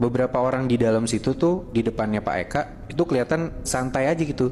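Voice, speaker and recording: A man with a medium-pitched voice talks at a very fast pace, his pitch varying in an ordinary way. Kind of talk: horror story told in casual podcast chat. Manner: casual, conversational.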